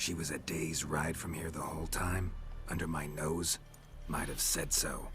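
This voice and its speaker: A man's put-on character voice, very deep and low in pitch, at a moderate pace over loud background noise. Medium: video game. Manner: terse, dry.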